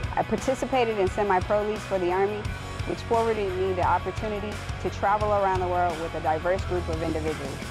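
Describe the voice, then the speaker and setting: A woman with an American accent talks at a very fast pace, her voice dry with no echo and music clearly audible in the background. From Orlando, Florida. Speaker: army recruiter. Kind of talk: recruiting testimonial to camera. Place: street.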